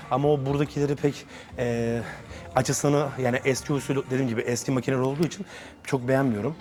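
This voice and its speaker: Intonation fairly even, a man speaks at a very fast pace. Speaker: fitness vlogger, bodybuilder. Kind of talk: casual gym vlog talk. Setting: gym. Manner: hesitant, many fillers.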